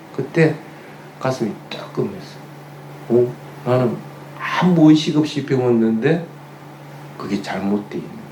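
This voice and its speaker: Through noticeable background noise and audible room echo, a man with a Gyeongsang accent speaks at a fairly high pitch and fairly slow pace, with lively intonation, big swings in loudness and long, frequent pauses. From Gyeongsang region, Korea. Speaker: Buddhist monk giving a dharma talk. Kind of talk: sermon.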